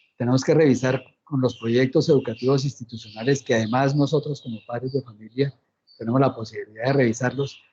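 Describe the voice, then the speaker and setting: A man talks in a flat, monotone way. His tone is dark and mellow, and somewhat breathy. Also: medium pitch for a man. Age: 60s. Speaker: lecturer on peace and truth commission. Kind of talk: Q&A response in online lecture. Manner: halting.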